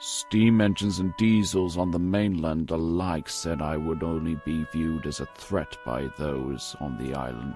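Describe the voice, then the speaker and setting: A man uses a put-on character voice, very deep and low in pitch, at a moderate pace. Clear music plays in the background. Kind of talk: audio drama dialogue. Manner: cold, sardonic.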